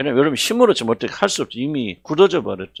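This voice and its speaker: A man talks at a very fast pace with very wide pitch swings and vocal fry. The sound is dry and close, with no echo. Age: 70s. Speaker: senior pastor. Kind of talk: sermon. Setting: church worship service. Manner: conversational, halting with fillers.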